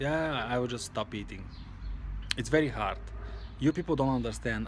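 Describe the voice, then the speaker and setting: Here a man talks with a non-native accent. He keeps a moderate pace. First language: not English. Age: 20s. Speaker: vlogger. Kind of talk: personal vlog monologue. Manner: halting.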